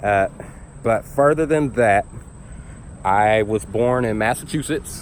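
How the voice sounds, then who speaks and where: Over noticeable background noise, a man with an American accent talks at a fairly low pitch with ordinary pitch variation. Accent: slight Southern, speech classes to reduce. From US South (Tennessee, Georgia). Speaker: YouTuber. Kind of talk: personal vlog monologue. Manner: casual, many fillers.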